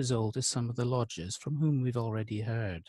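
A man speaks at a moderate pace, his slightly mellow tone captured in a dry, close sound with no echo.

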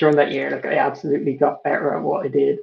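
A man with a Dublin accent. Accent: Dublin Irish. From Ireland. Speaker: artist and illustrator, college student; guest. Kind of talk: casual interview chat. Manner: hesitant, filler-heavy. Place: home room. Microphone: video call.

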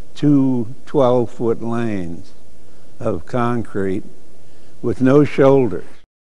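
A very slow pace with ordinary pitch variation. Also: man, medium pitch for a man. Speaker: car enthusiast interviewee. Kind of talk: interview answer. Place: hall. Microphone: lapel.

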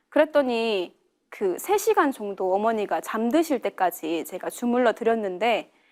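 With music in the background, a woman speaks at a fairly high pitch. Her voice swings very widely in pitch. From South Korea, Yeongcheon, North Gyeongsang. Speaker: religious practitioner. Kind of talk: testimony.

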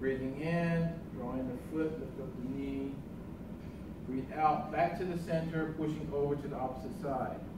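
The speech moves at a moderate pace. Room echo is audible, and background noise is noticeable. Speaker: tai chi instructor. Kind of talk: tutorial. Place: hall. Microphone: camera far.

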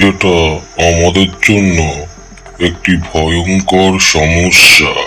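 A man talks in a cartoonish character voice with a very deep, low pitch. He goes at a very slow pace over clear background noise. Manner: gruff, commanding.

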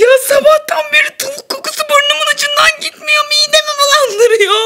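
A woman performs a put-on character voice, pitched extremely high. Her pace is moderate and her pitch variation ordinary. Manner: tearful, complaining.

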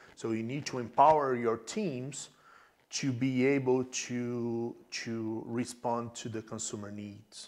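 A man of medium pitch speaks very slowly in a monotone, flat intonation. His loudness swings widely. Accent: Portuguese. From Brazil, small countryside town. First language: Portuguese. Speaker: e-commerce tech executive. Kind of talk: interview.

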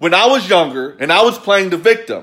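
A man's raised, projected voice, high in pitch and bright and sharp in tone, with an American accent, at a moderate pace against a quiet background. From US South, Kentucky. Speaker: motivational business coach. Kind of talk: angry motivational rant, scolding viewers with blunt tough love and sarcasm. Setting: live video on social media. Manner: forceful, emphatic, repeating 'quit blaming' in hammering staccato; sarcastic, mocking whiny voices. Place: home room. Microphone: phone near.

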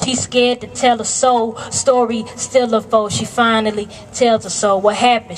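A woman speaks with fairly even intonation. Light background noise sits behind her. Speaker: spoken word performer. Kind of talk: spoken word poetry performance. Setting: live event, camcorder recording. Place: street. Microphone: camera far.

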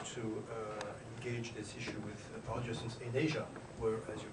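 Loud background noise fills the recording. A man talks at a moderate pace. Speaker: visiting ambassador lecturer. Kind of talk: lecture. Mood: polite, lightly humorous. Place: classroom.

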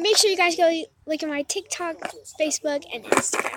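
A woman's voice comes through. Background noise can be clearly heard. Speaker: YouTuber. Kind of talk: casual vlog. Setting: outdoors. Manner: loud.

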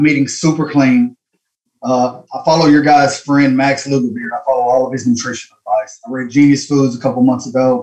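A man with a Southern US accent speaks with fairly even intonation. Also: fairly quick pace. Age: 30s. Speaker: caller. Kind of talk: call-in question. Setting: phone call. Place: home room. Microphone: video call.

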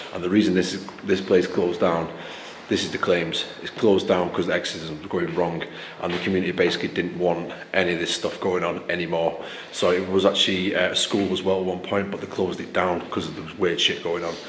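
Speaking at a very fast pace, a man with a very deep, low pitch keeps a monotone, flat intonation, with light background noise and audible room echo. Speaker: explorer vlogger. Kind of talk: casual vlog chat. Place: empty room. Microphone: phone near.

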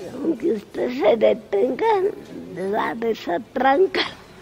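Noticeable noise sits in the background. A woman's pitch swings very widely. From Mexico City. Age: 80s+. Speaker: resident of an old people's home. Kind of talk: interview answer.

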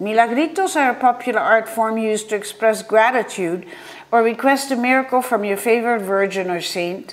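Her fairly high voice shows ordinary pitch variation as this woman talks at a moderate pace. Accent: Dutch. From Netherlands. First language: Dutch. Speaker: art historian and curator. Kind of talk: conference paper reading. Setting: virtual conference. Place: home room. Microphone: webcam.

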